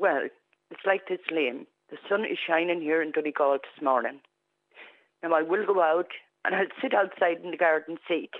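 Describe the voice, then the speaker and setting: A woman with an Irish Midlands accent speaks at a fairly low pitch with ordinary pitch variation. Her voice is shaky, her pace moderate, and her pauses long and frequent. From Clara, County Offaly, Ireland. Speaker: caller. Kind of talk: phone-in testimony. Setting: phone call.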